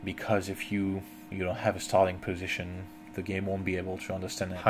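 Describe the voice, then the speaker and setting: Over music in the background, a voice moves at a fairly quick pace in a flat, monotone delivery. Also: man. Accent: French. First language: French. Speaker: software tutorial maker. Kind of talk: tutorial. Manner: halting.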